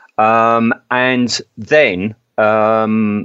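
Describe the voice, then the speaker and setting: The speaker is a man with an English accent. His pitch is fairly low. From England. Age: 50s. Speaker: podcast host. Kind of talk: casual chat.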